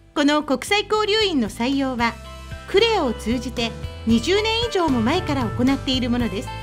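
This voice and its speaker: Music plays behind a woman with a high voice. Her pitch swings very widely. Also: moderate pace. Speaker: local TV news narrator. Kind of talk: TV news narration.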